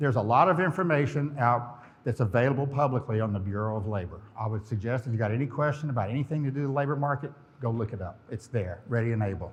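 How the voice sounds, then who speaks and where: Very fast, somewhat breathy speech from a man, medium in pitch with ordinary variation. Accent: Southern US. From US South, Florida Panhandle (Pensacola). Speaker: company president, conference speaker. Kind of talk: conference presentation. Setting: stage with audience.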